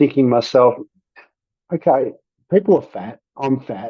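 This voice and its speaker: A man speaks at a moderate pace with an Australian accent, his medium pitch showing ordinary variation. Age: 60s. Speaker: podcast guest sharing weight loss story. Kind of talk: personal testimony in interview.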